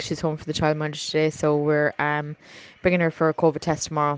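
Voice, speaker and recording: A woman speaks in a very deep, low voice with an Irish accent and monotone, flat intonation. The sound is dry and close with no echo, and background noise is noticeable. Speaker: podcast producer and new mother. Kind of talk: recorded voice update. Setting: at home with baby.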